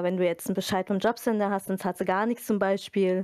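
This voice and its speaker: Speaking very fast, a woman keeps a monotone, flat intonation at a medium pitch. Her tone is dark and mellow, and the sound is dry and close with no echo. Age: 30s. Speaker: library media specialist. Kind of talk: casual interview.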